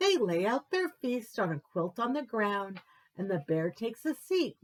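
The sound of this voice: An unforced reading voice is heard. It reads through the passage.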